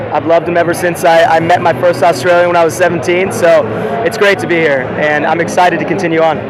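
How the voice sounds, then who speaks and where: Talking very fast at a high pitch in a flat monotone, a man with an American accent is heard with audible room echo and noticeable background noise. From US West Coast. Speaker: animal rights activist. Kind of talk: street interview.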